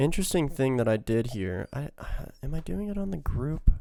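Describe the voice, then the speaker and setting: A man speaks in a dark, mellow tone. His pitch swings very widely and his loudness shifts in big swings. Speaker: music producer. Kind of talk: tutorial. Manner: casual, filler-heavy.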